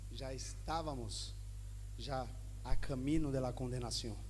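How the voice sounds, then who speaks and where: In a Spanish accent, the speaker talks at a very slow pace, with audible room echo. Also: man. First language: Spanish (speaking Portuguese). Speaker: pastor. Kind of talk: sermon.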